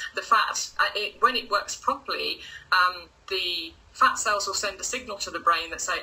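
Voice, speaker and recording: A woman with an English accent over noticeable background noise. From England, Lincoln. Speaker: results coach. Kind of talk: casual interview. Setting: live video stream.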